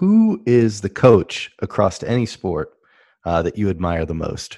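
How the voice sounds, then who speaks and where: The speaker has a normal speaking voice and moves at a fairly slow pace. The background is quiet. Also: man. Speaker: podcast co-host. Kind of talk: podcast interview.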